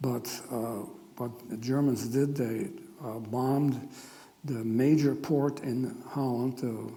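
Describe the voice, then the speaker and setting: Very slow speech from a man at medium pitch, fairly even in intonation, with audible room echo. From Netherlands. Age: 80s+. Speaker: Holocaust survivor speaker. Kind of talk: testimony. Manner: halting.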